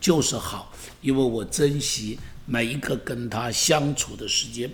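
A man speaks at a fairly slow pace in a somewhat breathy voice. Audible echo fills the room. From Taiwan. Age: 70s. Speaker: pastor. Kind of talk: podcast monologue. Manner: animated.

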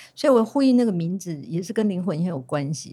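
Somewhat breathy, with a dark, mellow tone, the voice swings very widely in pitch on a very clean recording with a silent background. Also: woman. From Taiwan, Amis community. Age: old. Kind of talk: casual chat.

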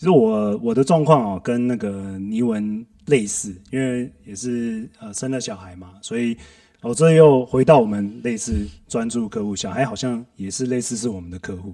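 A man's voice sits at medium pitch with a dark, mellow tone and ordinary pitch variation. His loudness swings widely as he talks at a moderate pace. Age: 40s. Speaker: systems analyst at a company. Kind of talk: casual chat.

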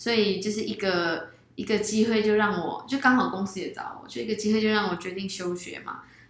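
A woman talks with ordinary pitch variation. Noticeable background noise and audible room echo fill the recording. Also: medium pitch for a woman, fairly quick pace. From Malaysia. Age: 20s. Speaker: YouTuber. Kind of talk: interview.

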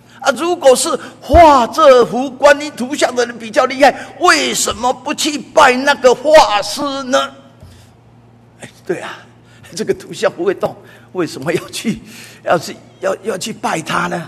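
Someone with a Taiwanese accent speaks at a fairly slow pace over noticeable background noise. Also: man, extremely high pitch for a man, lively intonation. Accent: Taiwanese Mandarin. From Taiwan, Taipei. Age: 80s+. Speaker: church elder preacher. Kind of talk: sermon. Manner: frequent filler particles.

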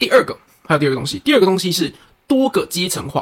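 Talking at a very fast pace, a man's voice makes very wide pitch swings. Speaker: cram school science teacher and podcast co-host. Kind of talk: casual chat.

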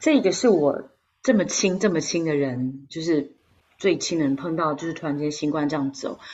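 With a Taiwanese accent, a woman speaks at a moderate pace in a very deep, low pitch with ordinary pitch variation. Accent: Taiwanese Mandarin. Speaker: podcast co-host. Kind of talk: casual chat.

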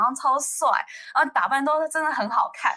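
The voice is raised and projected, with a bright, sharp tone. The pace is moderate. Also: woman. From United States. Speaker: college student. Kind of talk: casual chat. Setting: online call.

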